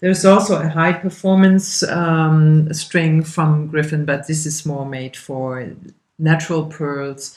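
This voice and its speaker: Speaking very slowly with a German accent, a woman uses a very deep, low pitch and fairly even intonation. Her loudness swings widely. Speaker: craft instructor. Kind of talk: tutorial. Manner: casual, with fillers and hesitations.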